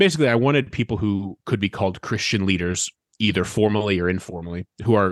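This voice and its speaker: Over a quiet background, a man talks at a fairly quick pace in a normal speaking voice, fairly low in pitch with ordinary pitch variation. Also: dry, close sound with no echo. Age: 30s. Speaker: author and social media consultant. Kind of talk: interview.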